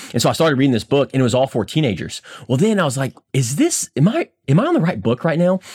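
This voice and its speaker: Very fast and energetic, a man with fairly high pitch, lively intonation and a somewhat breathy voice comes through in a dry, close sound with no echo. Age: 30s. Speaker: podcast host, insurance business owner. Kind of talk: casual chat.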